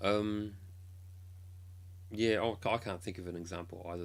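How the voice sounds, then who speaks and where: Flat, monotone speech from a man rings with audible room echo. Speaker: K-pop blogger and streamer. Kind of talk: casual live stream chat. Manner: hesitant, many ums.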